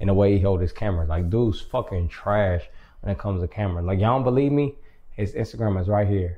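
Somewhat breathy and dark, mellow in tone, a man talks at a very fast pace and a fairly low pitch. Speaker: vlogger giving house tour. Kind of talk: casual vlog chat. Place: garage. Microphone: camera far.

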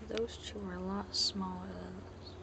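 A man is whispering. Loud noise fills the background. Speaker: home gardener. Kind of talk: casual talk to camera. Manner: whispered. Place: garden. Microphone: phone near.

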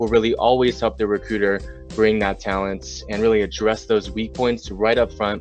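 A man with a fairly low pitch speaks at a fairly slow pace in a dry sound with no echo, faint music playing in the background. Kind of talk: advice talk to camera. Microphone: webcam.

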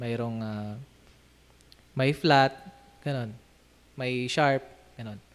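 With long, frequent pauses, a man talks at a very slow pace and keeps a fairly even intonation. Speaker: music vlogger; hobby musician vlogger. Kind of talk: casual instrument demo vlog. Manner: halting, many fillers. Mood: relaxed, friendly. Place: home room. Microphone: studio mic.

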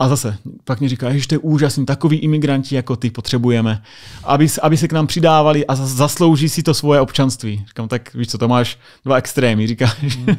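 Over a quiet background, a man talks at a very fast pace in a medium pitch with ordinary pitch variation. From Czechia. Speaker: US Air Force sergeant; podcast guest. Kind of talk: casual chat. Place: studio. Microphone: studio mic.

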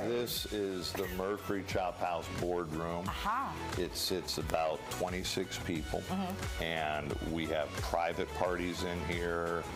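Clear music plays behind a man who talks at a very slow pace with ordinary pitch variation. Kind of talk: interview answer. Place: cafe. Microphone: lapel.

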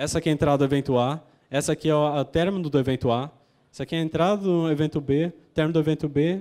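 Against a quiet background, a man with a fairly high pitch and a dark, mellow tone speaks at a very fast pace with fairly even intonation. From São Paulo, Brazil. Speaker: conference speaker, graduate researcher; conference speaker. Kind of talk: conference talk. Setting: stage with audience. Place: hall. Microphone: handheld.

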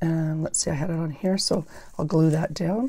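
A woman with a fairly low, dark, mellow voice sounds somewhat breathy against a quiet background. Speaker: paper craft YouTuber. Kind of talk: crafting tutorial. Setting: home craft room with clip-on microphone. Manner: mumbles at times; casual, rambling. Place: home room.

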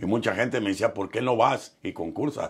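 A man with a western Mexican accent, lively intonation and a moderate pace against a quiet background. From Mexico, Michoacán and Nayarit; Mexico. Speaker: professional musician; interviewee. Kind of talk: interview storytelling. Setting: studio. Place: studio. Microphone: lapel.

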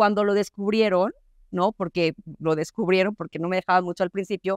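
Woman at a fairly quick pace, dry with no echo, in a quiet background. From Coahuila, Mexico. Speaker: TV news presenter. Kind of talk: panel discussion. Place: hall.

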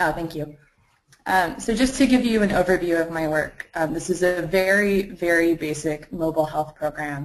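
It is an unremarkable speaking voice, a woman's with fairly low pitch and ordinary pitch variation. She talks at a moderate pace. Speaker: master's student and health startup co-founder; webinar panelist. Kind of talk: webinar presentation and panel discussion. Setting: live online webinar. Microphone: video call.

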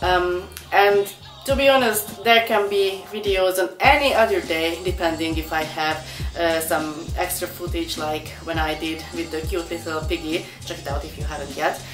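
A woman's fairly low-pitched voice over clear music in the background. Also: moderate pace. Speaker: pet vlogger. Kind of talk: casual vlog chat. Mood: cheerful, relaxed. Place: home room. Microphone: camera far.

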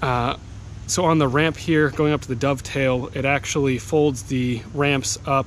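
Light background noise sits behind a man speaking at a moderate pace with fairly even intonation, in a dry sound with no echo. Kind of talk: casual vlog chat. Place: open country. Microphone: phone near.

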